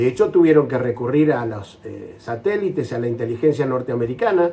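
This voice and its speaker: Over noticeable background noise, a man talks at a fairly quick pace in a medium pitch. His pitch variation is ordinary, but his loudness swings widely. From Argentina. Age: 60s. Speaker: war veteran. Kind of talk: interview.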